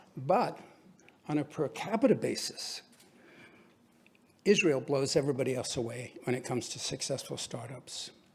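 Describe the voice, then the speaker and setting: Here a man speaks at a fairly high pitch with ordinary pitch variation, somewhat breathy. His pace is moderate, broken by long, frequent pauses. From England. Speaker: businessman and philanthropist. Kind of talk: speech to an audience.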